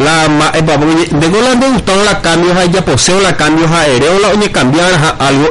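A man speaking very slowly, with audible room echo and noticeable background noise. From Paraguay, Altos (Cordillera department). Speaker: local political candidate. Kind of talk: radio interview, campaign pitch. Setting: radio broadcast.

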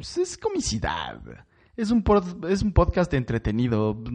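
Against a quiet background, a man with a dark, mellow tone speaks at a fairly slow pace, his pitch swinging very widely. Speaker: comedy podcast host. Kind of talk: comedic podcast monologue.

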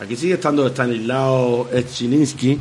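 Over noticeable background noise, a man with a medium-pitched voice talks at a fairly slow pace. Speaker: podcast co-host. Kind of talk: casual chat.

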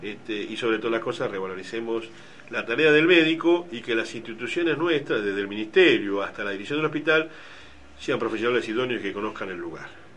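Over noticeable background noise and audible room echo, a man speaks at a fairly quick pace with very wide pitch swings. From Argentina, Bahía Blanca. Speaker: doctor, hospital emergency department head. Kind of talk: radio interview. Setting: radio studio. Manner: hesitant, many fillers.

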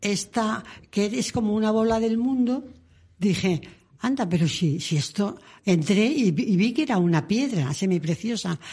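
Against a quiet background, a woman talks in a dark, mellow tone that is somewhat breathy, with lively intonation. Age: 80s+. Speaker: former nun and author. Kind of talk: interview. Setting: radio studio.

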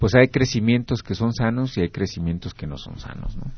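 This man talks at a fairly quick pace with a medium pitch. He has an unremarkable speaking voice and ordinary pitch variation. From Mexico, Querétaro. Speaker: radio host. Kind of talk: radio talk show.

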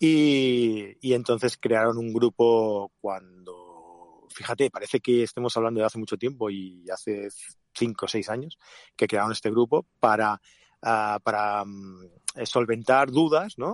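A man talks at medium pitch with ordinary pitch variation and a fairly slow pace. The sound is dry and close, with no echo. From Catalonia, of Andalusian roots. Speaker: podcast co-host, photographer and event producer. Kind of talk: casual chat. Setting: in a car.

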